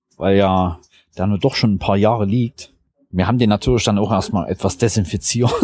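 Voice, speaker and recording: Using an ordinary speaking voice, a man talks at a fairly low pitch with ordinary pitch variation. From Saxony, Germany. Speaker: geocacher. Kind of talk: interview.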